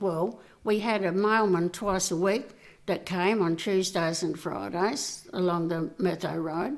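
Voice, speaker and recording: A woman speaks at a fairly slow pace. She has an Australian accent. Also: medium pitch for a woman, ordinary pitch variation. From South Australia, Riverland. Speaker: community volunteer. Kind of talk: interview answer.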